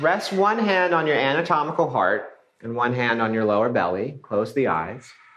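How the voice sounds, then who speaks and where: Using an unremarkable speaking voice of medium pitch, a man talks at a fairly slow pace with lively intonation. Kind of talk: guided yoga class instruction. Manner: relaxed, friendly, conversational.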